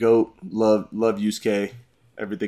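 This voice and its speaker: A man with an American accent, animated in tone, at a moderate pace. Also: very clean recording, silent background. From Illinois, Chicago suburbs. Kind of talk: casual chat.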